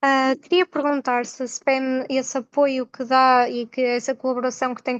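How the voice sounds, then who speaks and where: A woman speaks at a high pitch. The sound is dry and close with no echo, over a quiet background. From northern Portugal, Gaia. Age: 20s. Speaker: nursing graduate, webinar participant. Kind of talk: question in a webinar.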